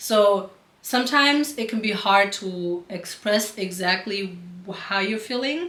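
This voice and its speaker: In a German accent, a woman speaks at a fairly slow pace with ordinary pitch variation. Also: medium pitch for a woman. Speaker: couple vlogger. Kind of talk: casual chat.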